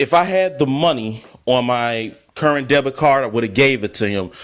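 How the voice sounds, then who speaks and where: Speaking with an American accent, a man uses an ordinary speaking voice with ordinary pitch variation. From US, Chicago. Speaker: travel vlogger. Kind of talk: casual storytelling monologue.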